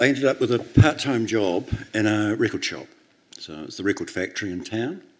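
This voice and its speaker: A man with a New Zealand accent speaks at a fairly quick pace in a medium pitch, his intonation lively and his loudness swinging widely. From New Zealand, Christchurch. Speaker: record label founder and author. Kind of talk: onstage interview. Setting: stage with audience.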